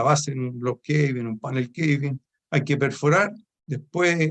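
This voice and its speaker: A man with a Chilean accent, speaking at a fairly slow pace. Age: 70s. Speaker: author of a mining dictionary, retired mining supervisor. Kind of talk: book presentation talk. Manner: hesitant, many fillers.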